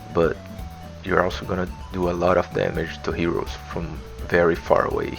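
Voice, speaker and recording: A man with a non-native accent and a very deep, low pitch, at a moderate pace, with music in the background. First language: not English. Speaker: video game guide maker. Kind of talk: video game tutorial narration. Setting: low quality home mic with background music. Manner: casual.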